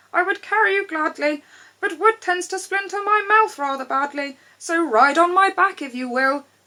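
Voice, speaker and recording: A woman puts on a squeaky character voice. Her pitch is extremely high. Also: moderate pace. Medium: read story.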